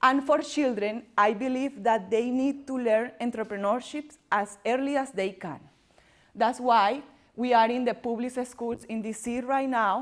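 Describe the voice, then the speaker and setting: A woman with a strong Colombian accent, high in pitch, fairly even in intonation and fairly slow in pace. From Colombia, Barranquilla (Caribbean coast). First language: Spanish. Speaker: entrepreneur and workshop presenter. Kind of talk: workshop presentation. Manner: loud; halting, non-native phrasing.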